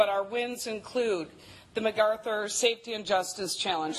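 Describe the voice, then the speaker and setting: Here a woman talks at a fairly high pitch. Her pace is moderate. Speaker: county criminal justice coordinator. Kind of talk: presentation. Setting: council meeting chamber.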